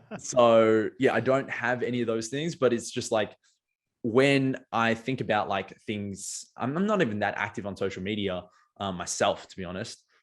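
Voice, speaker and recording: This man has an Australian accent and a medium pitch. His loudness swings widely, and the recording is very clean with a silent background. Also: ordinary pitch variation, moderate pace. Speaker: marketing agency owner and poet. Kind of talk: podcast interview. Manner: many filler words and restarts.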